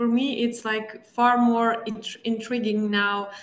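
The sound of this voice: Audible room echo surrounds a woman with a fairly high pitch. She speaks at a fairly slow pace.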